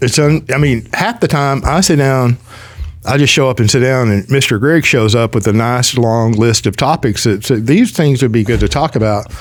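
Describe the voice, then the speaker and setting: A man talks at a moderate pace in a normal speaking voice, medium in pitch with ordinary variation. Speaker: podcast host. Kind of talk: casual chat.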